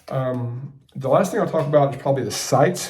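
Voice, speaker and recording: A man with a fairly high voice is heard with audible room echo. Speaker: gun reviewer YouTuber. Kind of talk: product review. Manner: fast.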